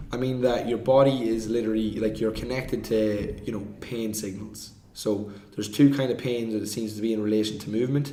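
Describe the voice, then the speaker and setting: A man with an Irish accent speaks at a medium pitch in a flat monotone, with audible room echo and noticeable background noise. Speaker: movement coach. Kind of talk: podcast discussion.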